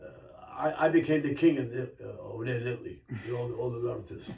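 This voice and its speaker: A man speaks very fast at medium pitch with fairly even intonation. Room echo is audible. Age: 90s. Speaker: grandfather being interviewed by grandchild. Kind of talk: casual family interview, storytelling.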